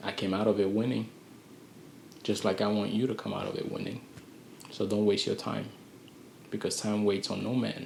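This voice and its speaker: A man speaks with long, frequent pauses, and audible echo fills the room. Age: 20s. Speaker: vlogger giving life advice. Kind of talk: motivational monologue. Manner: slow and calculated; halting.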